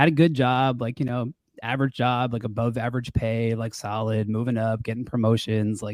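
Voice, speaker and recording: Over a very clean recording with a silent background, a man at a medium pitch speaks at a fairly quick pace in a monotone, flat intonation. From Long Island, New York. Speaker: real estate wholesaler. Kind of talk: podcast interview. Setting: podcast recording with new mic. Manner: casual, many fillers. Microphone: nice podcast microphone.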